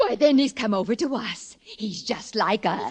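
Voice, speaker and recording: A female-sounding voice does a put-on character voice at a fairly high pitch. The pace is moderate. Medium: old radio play.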